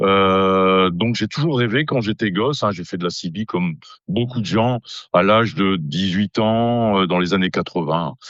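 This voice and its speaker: Fairly low-pitched man at a fairly slow pace, with ordinary pitch variation. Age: 60s. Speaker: amateur radio operator. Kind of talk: casual interview. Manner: hesitant, many fillers.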